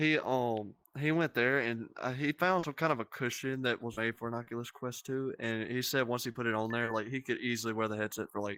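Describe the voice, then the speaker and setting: A man's medium-pitched voice, bright and sharp, at a fairly quick pace with hardly any pauses, fairly even intonation and a dry, close sound with no echo. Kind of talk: casual chat. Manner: loud; soft-spoken.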